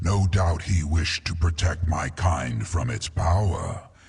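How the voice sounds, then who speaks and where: The man speaks in a put-on character voice. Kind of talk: epic fantasy game voice acting. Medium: video game. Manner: proud, solemn, deliberate.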